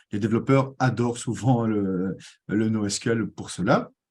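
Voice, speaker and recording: In a Belgian accent, a man speaks with a fairly low pitch and a dark, mellow tone on a very clean recording with a silent background. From Belgium. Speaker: tech community manager and presenter. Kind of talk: conference presentation. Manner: hesitant, many fillers.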